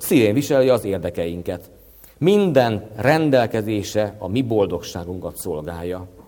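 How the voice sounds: Lively intonation shapes a natural reading voice.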